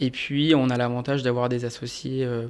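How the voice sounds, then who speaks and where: Here a man of medium pitch speaks at a moderate pace in a flat monotone. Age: 30s. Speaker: audit manager at an accounting firm. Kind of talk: interview. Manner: hesitant, many fillers.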